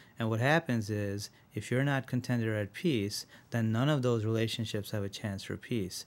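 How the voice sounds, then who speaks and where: A man talks at a moderate pace in a normal speaking voice, medium in pitch with ordinary pitch variation. The recording is very clean, with a silent background. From Rochester, New York (born in India, moved at seven). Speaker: physician, integrative medicine director. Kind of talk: interview.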